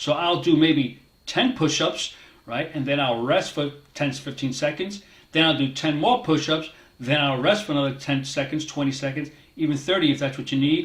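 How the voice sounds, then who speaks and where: A man speaks at a moderate pace in a fairly high, somewhat breathy voice. His pitch varies in an ordinary way. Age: 60s. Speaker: fitness motivation creator, cybersecurity worker. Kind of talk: casual talk to camera. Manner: motivational, conversational.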